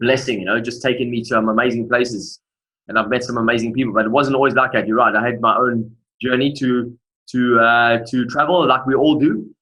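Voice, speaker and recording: With a South African accent, this man talks at a fairly quick pace in a medium pitch, his tone bright and sharp and his intonation fairly even. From South Africa, Durban. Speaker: motivational speaker. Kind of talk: interview testimony.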